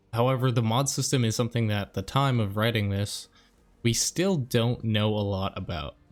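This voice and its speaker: Over background music, a man speaks at a medium pitch and moderate pace with ordinary pitch variation. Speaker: gaming YouTuber. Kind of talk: video game guide narration. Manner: soft-spoken.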